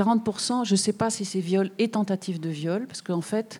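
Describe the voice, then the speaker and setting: A woman's medium-pitched voice has a dark, mellow tone. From southern France, Bouches-du-Rhône. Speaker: journalist and author. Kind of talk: public talk with Q&A. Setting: public event with audience.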